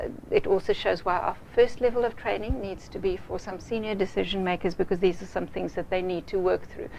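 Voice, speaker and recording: A woman with a non-native accent, at a fairly quick pace. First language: not English. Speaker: project management trainer. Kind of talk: business presentation to a client. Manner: halting, with many fillers.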